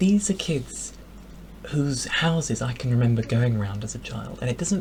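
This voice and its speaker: Here a man talks at a moderate pace with an English accent. His pitch is medium. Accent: posh English (RP). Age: 20s. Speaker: vlogger. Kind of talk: casual vlog monologue. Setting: home bedroom.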